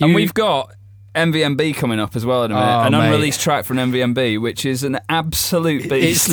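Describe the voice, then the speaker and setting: With noticeable background noise behind him, a man in a northern English accent talks at a moderate pace, his medium pitch carried by lively intonation. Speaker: podcast host. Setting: studio.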